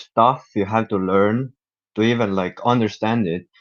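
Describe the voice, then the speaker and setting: A man's fairly low voice at a fairly slow pace. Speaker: Linux user group participant. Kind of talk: casual group discussion.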